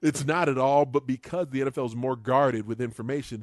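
A man talks in a normal speaking voice at a fairly quick pace. His pitch is medium, and the background is quiet. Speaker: football analyst guest. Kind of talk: casual chat.

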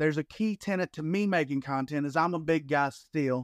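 A man with an American accent talks at a fairly quick pace in an ordinary speaking voice, fairly high in pitch with ordinary pitch variation, on a very clean recording with a silent background and a dry, close sound with no echo. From US South, Alabama. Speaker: disc golf content creator. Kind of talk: casual interview chat.

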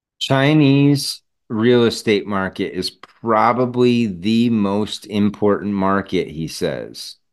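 Speaking at a very slow pace with hardly any pauses, a man has a medium pitch and ordinary pitch variation, heard over a quiet background. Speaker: podcast host. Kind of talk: solo podcast monologue with clip commentary.

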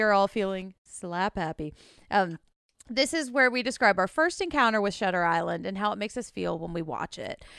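In a Southern US accent, a bright, sharp tone comes through at a moderate pace, dry and close with no echo in a very clean recording with a silent background. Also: woman. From US South. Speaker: podcast host. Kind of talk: casual chat.

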